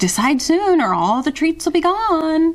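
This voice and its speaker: In a squeaky, put-on character voice, the speaker goes at a moderate pace over light background noise. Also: woman, extremely high pitch for a woman. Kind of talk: bedtime story. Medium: read story.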